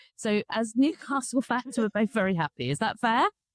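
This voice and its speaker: This woman talks at a fairly quick pace with a fairly high pitch. The sound is dry and close with no echo, on a very clean recording with a silent background. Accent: southern English. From southern England. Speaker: podcast host. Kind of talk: casual interview chat. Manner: animated.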